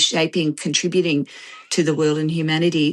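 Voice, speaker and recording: A woman speaks at a fairly low pitch with an Australian accent. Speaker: author and systems researcher. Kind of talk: interview. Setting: live online video interview. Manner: halting, many fillers.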